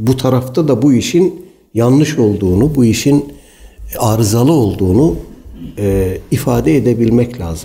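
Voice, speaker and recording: At a fairly slow pace, a man speaks with a dark, mellow tone, somewhat breathy, with very wide pitch swings and audible room echo. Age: 60s. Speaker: Islamic preacher. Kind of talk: religious lecture.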